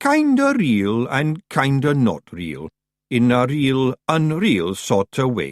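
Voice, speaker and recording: A put-on character voice from a man, medium in pitch and very slow in pace, on a very clean recording with a silent background. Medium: read story. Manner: nervous, eager.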